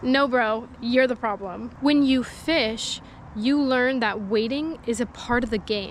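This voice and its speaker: Pitched high, a woman talks with ordinary pitch variation. Her pace is very slow. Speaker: fishing vlogger. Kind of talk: casual vlog chat. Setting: outdoors by a lake. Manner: talking quietly.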